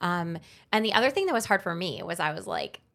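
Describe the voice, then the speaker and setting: On a very clean recording with a silent background, a woman with a New Jersey accent speaks at a medium pitch with lively intonation. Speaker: writer and podcaster. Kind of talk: casual chat. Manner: loud.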